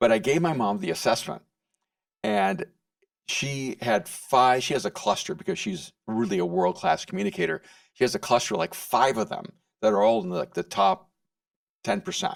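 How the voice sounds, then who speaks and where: This man has a fairly high pitch, very wide pitch swings and vocal fry, speaking at a moderate pace with long, frequent pauses on a very clean recording with a silent background and a dry, close sound with no echo. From El Salvador. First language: Spanish. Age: 60s. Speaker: author and speaker. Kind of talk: podcast interview. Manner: halting, repeats words.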